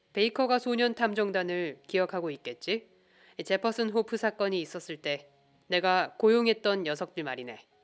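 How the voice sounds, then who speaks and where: Music plays in the background as a calm, soothing voice with lively intonation moves at a fairly slow pace. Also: woman. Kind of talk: audiobook reading of a detective novel.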